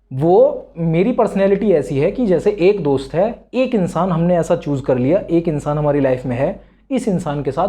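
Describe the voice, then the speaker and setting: Against a quiet background, a man speaks at a moderate pace in a high pitch. His tone is dark and mellow, with very wide pitch swings. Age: 20s. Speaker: self-improvement YouTuber. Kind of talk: casual talk to camera.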